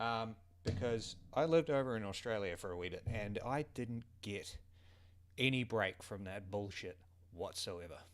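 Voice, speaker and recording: A man with a Southern New Zealand accent, medium pitch, ordinary pitch variation and a moderate pace. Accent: Southern New Zealand (Kiwi). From New Zealand, South Island (Otago/Southland). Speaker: vlogger. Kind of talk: casual monologue vlog. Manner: animated, informal with swearing and hesitations.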